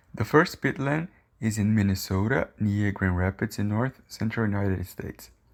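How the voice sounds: Speaking at a moderate pace, a man uses a fairly low pitch with ordinary pitch variation and vocal fry.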